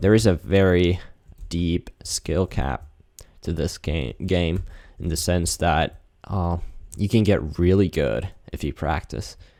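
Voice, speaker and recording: A voice with a dark, mellow tone and some vocal fry moves at a very slow pace with long, frequent pauses and ordinary pitch variation, in a very clean recording with a silent background. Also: man, very deep, low pitch for a man. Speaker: video creator seeking accent feedback. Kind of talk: casual monologue while gaming. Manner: hesitant, many fillers and repeats.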